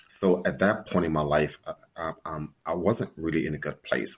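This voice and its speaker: With an American accent, a man speaks in a very deep, low voice edged with vocal fry. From US South, Georgia. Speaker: life coach. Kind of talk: interview.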